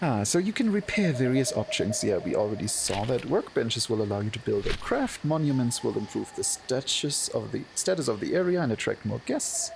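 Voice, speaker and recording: Music plays in the background as a man with a German accent speaks at a fairly quick pace. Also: hardly any pauses. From Germany. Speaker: streamer. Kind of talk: casual chat.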